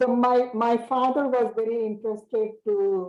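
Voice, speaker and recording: A woman is speaking. Her pace is very slow. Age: 70s. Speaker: grandmother being interviewed. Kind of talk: oral history interview. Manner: halting.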